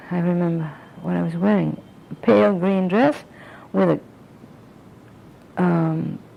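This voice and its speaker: A woman speaks with long, frequent pauses amid noticeable background noise. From France. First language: French. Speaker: interviewee. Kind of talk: oral history interview. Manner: halting.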